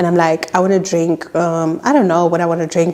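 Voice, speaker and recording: Medium pitch from a woman at a moderate pace, backed by noticeable background noise. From South Africa. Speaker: YouTuber. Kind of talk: casual storytime talk to camera.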